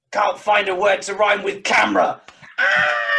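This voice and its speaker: A put-on character voice shouts at a middle pitch. The pace is moderate. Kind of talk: comic improv overacting. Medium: stage play. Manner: angry, ranting in rough rhyming couplets.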